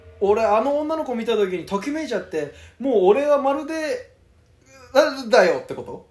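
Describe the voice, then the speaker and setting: A man speaks at a moderate pace with an extremely high pitch and very wide pitch swings. His loudness swings widely, and there is noticeable background noise. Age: 20s. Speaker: podcast co-host. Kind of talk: casual chat.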